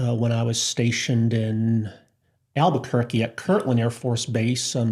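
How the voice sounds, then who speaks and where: A man with an American accent speaks at a moderate pace and medium pitch, his tone dark, mellow and somewhat breathy. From Massachusetts.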